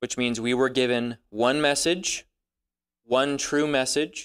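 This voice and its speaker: A man speaks in an ordinary speaking voice at a medium pitch with fairly even intonation. The recording is very clean with a silent background and a dry, close sound with no echo. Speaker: Bible teacher. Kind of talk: Bible study teaching. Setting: room with live audience.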